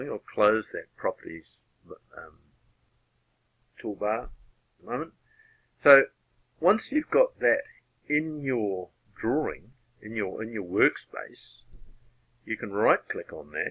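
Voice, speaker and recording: A man with a New Zealand accent talks at a fairly slow pace, using long, frequent pauses and big swings in loudness. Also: dry, close sound with no echo. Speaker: AutoCAD user and tutorial maker. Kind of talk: software tutorial narration. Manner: casual, hesitant.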